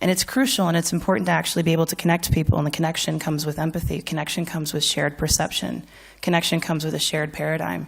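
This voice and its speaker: A woman with an American accent speaks at a very deep, low pitch with vocal fry, in a very clean recording with a silent background. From United States. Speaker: financial services speaker. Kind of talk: conference talk. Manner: animated.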